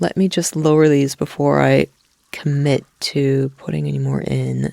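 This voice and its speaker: A woman with an American accent speaks at a fairly slow pace in a dry, close sound with no echo. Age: middle-aged. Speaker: gaming streamer. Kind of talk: relaxed gameplay commentary. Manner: slow, easygoing.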